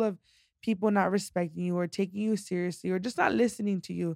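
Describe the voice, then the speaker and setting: A woman with an unremarkable speaking voice talks at a fairly quick pace with fairly even intonation, in a very clean recording with a silent background. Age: 20s. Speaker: podcast guest, self-care business owner. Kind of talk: casual chat.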